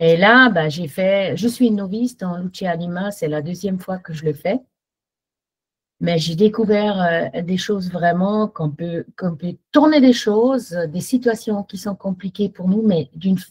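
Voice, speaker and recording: A woman in a German accent talks at a fairly slow pace, her medium-pitched, somewhat breathy voice showing ordinary pitch variation. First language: German (speaking French). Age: 60s. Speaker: workshop participant giving testimony. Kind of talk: testimony. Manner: halting.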